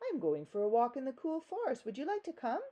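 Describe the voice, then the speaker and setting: A put-on character voice, female-sounding and high in pitch, races along at a very fast pace. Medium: read story. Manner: wheedling.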